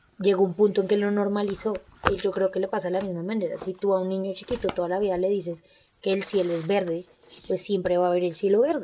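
A woman's medium-pitched voice at a very fast pace, monotone with flat intonation. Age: 20s. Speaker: true crime podcast co-host. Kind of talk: casual chat with case narration.

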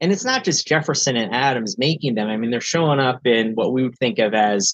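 Lively intonation marks this voice with an American accent, recorded with a dry, close sound and no echo. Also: man. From US, northeastern Pennsylvania (Appalachia). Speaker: classics professor. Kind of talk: interview. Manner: halting, many fillers.

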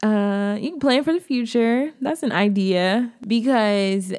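A woman with an American accent speaks in a medium pitch and a normal speaking voice. The recording is very clean with a silent background. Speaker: podcast host. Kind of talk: pep talk. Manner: warm, encouraging; casual, chatty.

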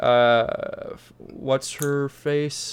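Here a man has an ordinary speaking voice with a fairly high pitch. His intonation is fairly even. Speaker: podcast host. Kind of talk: casual chat.

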